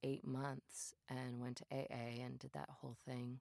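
A woman with a very deep, low voice and an American accent speaks at a fairly slow pace in a flat monotone, her tone dark and mellow, the sound dry and close with no echo. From northern Minnesota. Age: 40s. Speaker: spiritual workshop leader and podcast host. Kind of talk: solo podcast monologue.

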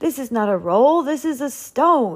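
Someone does a put-on character voice with big pitch swings. The pace is fairly slow. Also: woman, high pitch for a woman.

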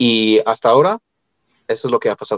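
A man is speaking. His pitch is medium. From Colorado, US. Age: 20s. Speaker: opera singer. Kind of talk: interview. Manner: halting.

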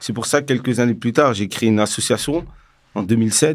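A man with a normal speaking voice and medium pitch talks at a moderate pace with ordinary pitch variation, on a very clean recording with a silent background. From Paris suburbs, France (Val-d'Oise). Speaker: founder of a nonprofit for entrepreneurship. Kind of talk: casual interview.

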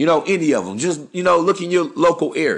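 Against a quiet background, a man uses an animated tone and a high pitch with ordinary pitch variation. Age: 30s. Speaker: dating advice podcaster. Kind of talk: solo monologue.

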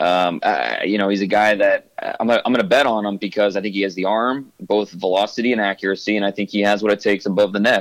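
A man speaks very fast in a fairly low voice with an American accent. His intonation stays fairly even, and he hardly pauses. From US Midwest, Ohio. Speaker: football draft analyst. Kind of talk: interview.

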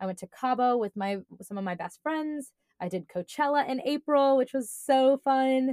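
The sound is dry and close, with no echo, and the tone is dark and mellow. Delivery is moderately paced with lively intonation. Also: woman, high pitch for a woman. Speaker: podcast co-host and medical school applicant. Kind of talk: casual chat.

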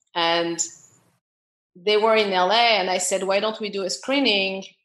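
Someone with a French accent talks at a moderate pace with ordinary pitch variation. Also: woman. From France. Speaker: film producer. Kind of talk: casual interview chat.

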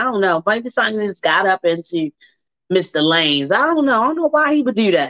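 A woman talks at a fairly quick pace in an animated tone. The sound is dry and close, with no echo. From Baltimore, US. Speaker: radio host. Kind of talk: casual talk show monologue. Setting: live radio broadcast. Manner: loud, animated.

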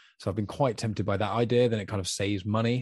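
A man with a British accent speaks very fast at a fairly low pitch, his intonation fairly even, in a dry, close recording with no echo. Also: quiet background. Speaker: podcast host. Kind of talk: casual chat. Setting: in person with guest. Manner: talkative.

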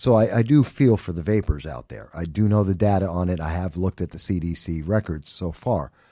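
Speaking with an American accent, a man with a very deep, low pitch and a dark, mellow tone talks at a fairly quick pace with lively intonation, in a very clean recording with a silent background. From New York City, the Bronx. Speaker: political commentator. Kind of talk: casual chat. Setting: studio.

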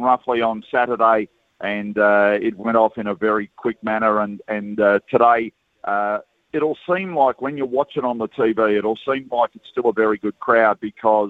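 With an Australian accent, a man speaks at medium pitch and a moderate pace, his pitch varying in an ordinary way. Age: 60s. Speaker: horse racing broadcaster. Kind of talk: radio interview. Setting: outdoors at racecourse.

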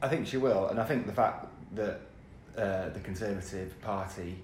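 A somewhat breathy man's voice at a fairly quick pace. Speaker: political editor. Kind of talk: casual chat. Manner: tired.

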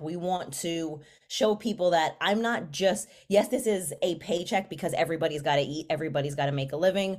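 At a very fast pace, a woman with an American accent speaks in a fairly low pitch with ordinary variation, heard in a very clean recording over a silent background. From New York City, the Bronx. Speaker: mental health counselor. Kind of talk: casual chat.

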